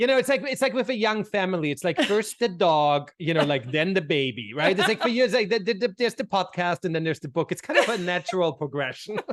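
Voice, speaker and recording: With an Austrian accent, a man talks at a very fast pace and a high pitch, making very wide pitch swings and hardly any pauses. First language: German. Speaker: brand consultant. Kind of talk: podcast interview. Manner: repetitive, halting starts.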